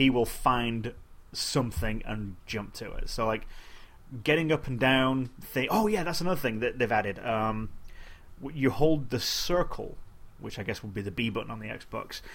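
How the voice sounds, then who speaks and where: A man with a normal speaking voice talks at a moderate pace and medium pitch, with ordinary pitch variation and big swings in loudness. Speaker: podcast host. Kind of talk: casual chat.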